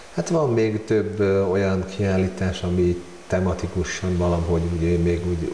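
A man's very deep, low voice at a fairly slow pace, with audible room echo and light background noise. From Hungary. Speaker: amateur photographer. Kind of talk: casual interview. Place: home room. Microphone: lapel.

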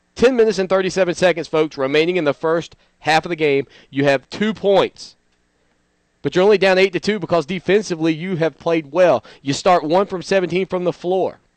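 The sound is dry and close with no echo. A man speaks at a fairly quick pace, fairly high in pitch, with ordinary pitch variation.

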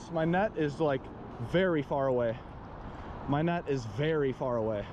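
There is noticeable background noise as a man speaks with ordinary pitch variation in a dry sound with no echo. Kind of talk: excited fishing commentary. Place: waterside. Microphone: phone near.

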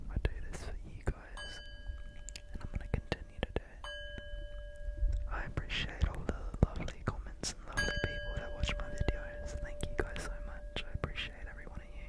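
A fairly quick whisper broken by long, frequent pauses. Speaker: ASMR creator. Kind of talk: ASMR relaxation video. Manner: whispered.

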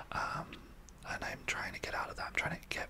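The speaker whispers at a fairly quick pace. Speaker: podcast co-host. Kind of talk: casual podcast conversation. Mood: empathetic, reflective. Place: home room. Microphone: studio mic.

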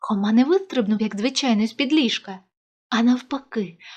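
Behind this natural reading voice, the background stays quiet.

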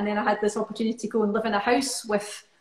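Against a quiet background with audible room echo, a woman in a Scottish accent speaks at a fairly high pitch with fairly even intonation. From Scotland. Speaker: musician and choir leader; guest. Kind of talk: casual chat.

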